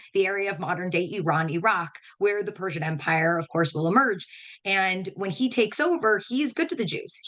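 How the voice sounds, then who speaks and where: A woman talks at a fairly quick pace with lively intonation and a bright, sharp tone. Her pitch is medium, and the background is quiet. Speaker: educator. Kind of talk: webinar lecture. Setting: online webinar. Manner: fast.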